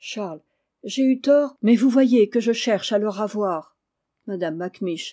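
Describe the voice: Behind the voice, all is quiet. The delivery is plain reading aloud.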